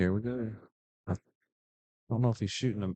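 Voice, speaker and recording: The background is quiet. A man speaks with ordinary pitch variation. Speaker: pool commentator and player. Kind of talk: live commentary. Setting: pool hall. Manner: loud.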